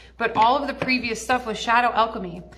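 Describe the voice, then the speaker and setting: Through noticeable background noise and audible room echo, a woman speaks at a fairly quick pace. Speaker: spiritual teacher and mentor. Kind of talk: casual livestream talk. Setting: live stream at a wellness center.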